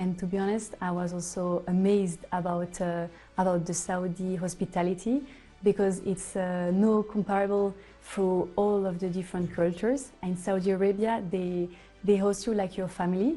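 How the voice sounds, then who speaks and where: Medium-pitched woman, moderate pace and fairly even intonation, with music in the background. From Switzerland, Geneva. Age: 20s. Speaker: hospitality consultant. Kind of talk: interview testimony. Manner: halting, many fillers.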